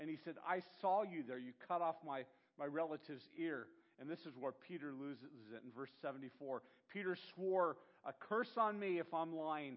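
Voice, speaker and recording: Moderate pace and ordinary pitch movement from a man with an unremarkable speaking voice, pitched fairly high. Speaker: pastor. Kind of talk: sermon.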